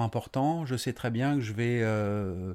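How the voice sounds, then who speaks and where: On a very clean recording with a silent background, a man of medium pitch speaks at a very slow pace. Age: 40s. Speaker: building contractor. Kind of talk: interview. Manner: halting.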